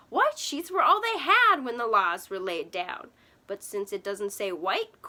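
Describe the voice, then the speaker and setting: A female-sounding voice is put on as a character, pitched fairly high for a woman. It moves at a moderate pace. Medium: read story.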